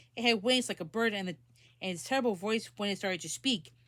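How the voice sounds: Ordinary pitch variation runs through the delivery. The speaker uses a natural reading voice.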